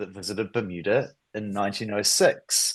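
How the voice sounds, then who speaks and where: A man speaks with a New Zealand accent. His pace is fairly slow. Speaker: stamp collecting society president. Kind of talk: presentation. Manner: halting.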